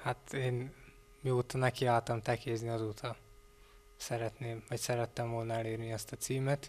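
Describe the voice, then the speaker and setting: A man delivers his words in a monotone, flat intonation at a moderate pace. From Hungary, Zala county; Hungary. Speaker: athlete. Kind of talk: interview. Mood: calm, modest. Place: office. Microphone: handheld.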